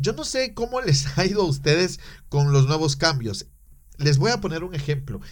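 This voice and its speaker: Speaking at a moderate pace, a man with a fairly high voice sounds somewhat breathy and uses lively intonation. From Guatemala. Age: 30s. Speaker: podcast host. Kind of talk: solo podcast monologue.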